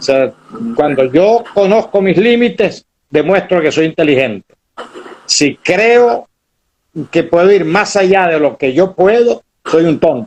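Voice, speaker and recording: This man has a high pitch and lively intonation, speaking at a very slow pace with very even loudness and long, frequent pauses. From Venezuela, Maracaibo. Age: 70s. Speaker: historian, former university rector. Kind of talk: interview.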